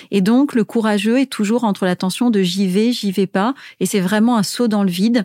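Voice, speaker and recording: Here is a woman with an unremarkable speaking voice, fairly high in pitch, at a moderate pace with ordinary pitch variation. The sound is dry and close with no echo, a very clean recording with a silent background. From Tunisia. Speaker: business executive and author. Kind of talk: interview.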